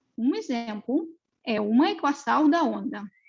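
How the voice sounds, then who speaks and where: A woman with a Russian accent, high in pitch, with lively intonation. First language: Russian (speaking Portuguese). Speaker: mathematics researcher. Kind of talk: lecture. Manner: halting, many fillers.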